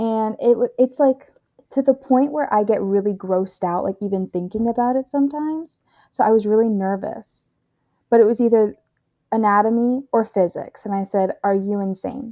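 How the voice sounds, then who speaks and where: A woman's voice, dark and mellow in tone and fairly high in pitch, moves at a moderate pace with ordinary pitch variation, sounding dry and close with no echo. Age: 20s. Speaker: former student, works in finance support. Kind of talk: casual chat. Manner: animated.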